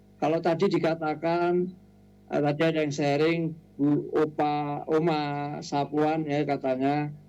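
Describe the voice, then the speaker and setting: A man speaks fairly slowly at a fairly high pitch, with a dark, mellow tone. His intonation is flat and monotone, and his loudness stays very even. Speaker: elderly community member sharing on radio. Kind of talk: sharing on radio program.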